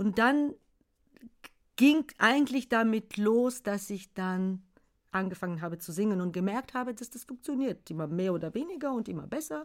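Speaking with a Bulgarian accent, a woman uses a fairly high voice at a moderate pace. Her intonation is lively, and her loudness swings widely. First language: Bulgarian (speaking German). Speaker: children's songwriter. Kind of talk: casual chat. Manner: halting.

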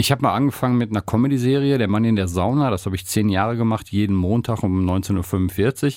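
A man's fairly low voice at a very fast pace, hardly any pauses, very even loudness and ordinary pitch variation, on a very clean recording with a silent background. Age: 60s. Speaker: podcast co-host and radio presenter. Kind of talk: casual chat.

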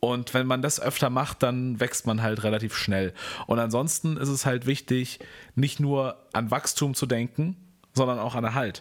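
A man's plain, everyday voice at a medium pitch, fairly slow in pace with fairly even intonation. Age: 20s. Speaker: video and social media creator. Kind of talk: casual chat. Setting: at his flat.

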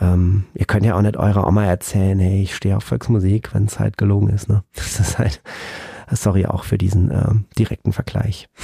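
A man with a fairly low pitch and a dark, mellow, somewhat breathy tone talks at a moderate pace with fairly even intonation and very even loudness, in a dry, close sound with no echo. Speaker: music podcast host. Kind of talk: solo album review. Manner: hesitant with many fillers.

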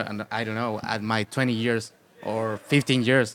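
A man speaks with a Spanish accent, and the sound is dry and close with no echo. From Chile. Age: 30s. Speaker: punk rock musician. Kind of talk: casual interview. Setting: festival radio studio.

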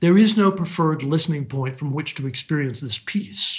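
A man talks at a moderate pace in a fairly high pitch. His tone is calm, and his intonation is lively. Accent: American. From US. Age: 60s. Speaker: composer. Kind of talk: interview. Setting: video call.

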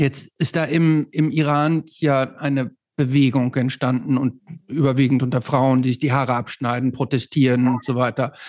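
Monotone and flat in intonation, a man speaks at medium pitch and a moderate pace with very even loudness, on a very clean recording with a silent background. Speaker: podcast host. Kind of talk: casual interview.

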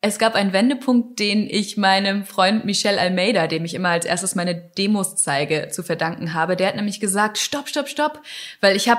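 In an ordinary speaking voice, a woman of medium pitch talks at a fairly quick pace with lively intonation. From northern Germany. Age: 20s. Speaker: musician. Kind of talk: interview.

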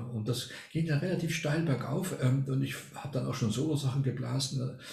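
With audible room echo, a man with a medium pitch speaks at a moderate pace, his dark, mellow voice somewhat breathy and lively in intonation. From Argentina. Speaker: retired music professor and baroque flutist. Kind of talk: casual interview.

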